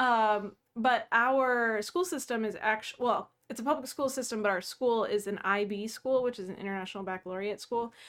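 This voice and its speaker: A normal speaking voice from a woman, fairly high in pitch with ordinary variation, at a moderate pace with hardly any pauses, on a very clean recording with a silent background. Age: 30s. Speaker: pastor, podcast co-host. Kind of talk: casual chat.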